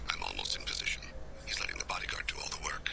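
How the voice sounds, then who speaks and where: Whispering, a man puts on a character voice. He talks at a very fast pace. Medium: game stream. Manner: calm, measured.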